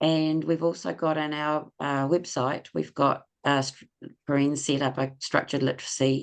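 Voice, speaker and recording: In a New Zealand accent, a woman with a very deep, low voice talks at a moderate pace with ordinary pitch variation. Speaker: webinar co-host, learning support teacher. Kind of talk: online webinar closing remarks.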